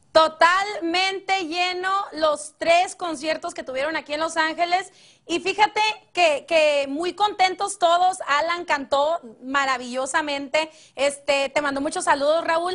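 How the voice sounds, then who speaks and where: A woman speaks fairly slowly at an extremely high pitch with ordinary pitch variation. The background is quiet. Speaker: TV entertainment correspondent. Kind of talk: TV show report, casual chat.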